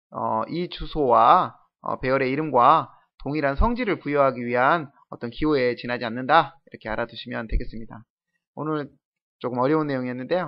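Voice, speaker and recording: At a fairly quick pace, a man speaks in an ordinary speaking voice at medium pitch with ordinary pitch variation. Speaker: programming lecturer. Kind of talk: lecture.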